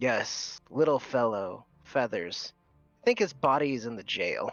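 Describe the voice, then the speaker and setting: A man puts on a character voice, pitched medium and delivered at a moderate pace. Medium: actual play. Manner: condescending.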